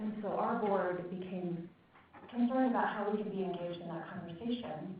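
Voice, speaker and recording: Noticeable background noise and audible room echo surround a woman speaking at a medium pitch and a fairly quick pace with fairly even intonation. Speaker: nonprofit executive director. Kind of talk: conference opening remarks. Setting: meeting room with audience, microphone.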